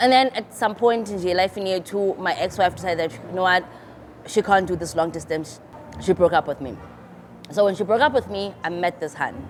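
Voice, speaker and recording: With a South African accent, a woman speaks at a fairly quick pace. Her medium pitch carries lively intonation. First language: isiXhosa. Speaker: YouTuber. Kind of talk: storytime vlog, casual chat.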